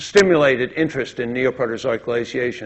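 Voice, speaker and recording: A man talks at a moderate pace in a fairly high pitch, with ordinary pitch variation. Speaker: lecturer. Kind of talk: lecture. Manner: halting.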